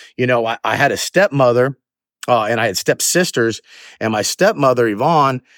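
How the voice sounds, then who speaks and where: A man with a Southern US accent and a medium pitch talks fairly quickly on a very clean recording with a silent background, the sound dry and close with no echo. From US South, Georgia (Jonesboro). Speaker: podcast host, motivational speaker. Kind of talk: motivational talk. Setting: outdoors, walking. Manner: halting, many fillers and restarts.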